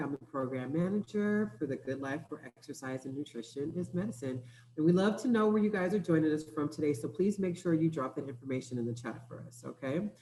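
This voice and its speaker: Over noticeable background noise, a woman with a very deep, low pitch races along at a very fast pace with lively intonation and hardly any pauses. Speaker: program manager. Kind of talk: webinar host introduction.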